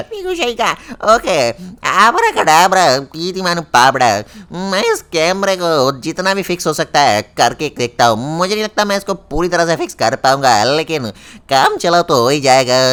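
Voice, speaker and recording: A man does a put-on character voice with a high pitch. He talks at a moderate pace with lively intonation. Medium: machinima.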